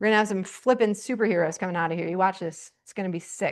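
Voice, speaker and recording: A woman talks in an animated tone at a fairly quick pace. The background is quiet. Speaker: teacher. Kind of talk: lecture. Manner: loud.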